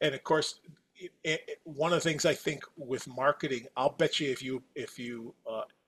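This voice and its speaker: A man with an American accent speaks at a moderate pace in an ordinary speaking voice, fairly high in pitch with fairly even intonation. His loudness swings widely, and the sound is dry and close with no echo. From US Midwest, Wisconsin. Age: 60s. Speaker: company executive. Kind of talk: podcast interview.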